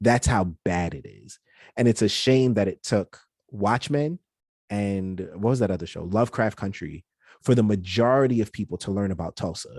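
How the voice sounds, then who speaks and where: A man's fairly low voice at a moderate pace, with ordinary pitch variation, big swings in loudness, and a dry, close sound with no echo against a quiet background. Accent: New York. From New York City, Brooklyn. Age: 30s. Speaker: podcast producer. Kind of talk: interview.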